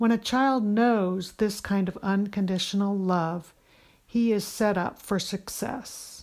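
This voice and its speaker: At a very slow pace, a woman speaks with medium pitch and a warm tone. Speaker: homeschooling podcast host. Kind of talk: pep talk. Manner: warm, encouraging, earnest; animated, emphatic.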